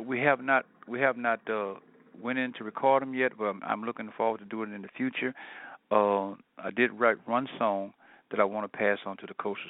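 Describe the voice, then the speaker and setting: Using fairly even intonation, a man with an American accent and a fairly low pitch speaks at a fairly quick pace. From New Orleans, Louisiana. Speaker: R&B lead singer. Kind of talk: interview. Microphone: speakerphone, sounds distant.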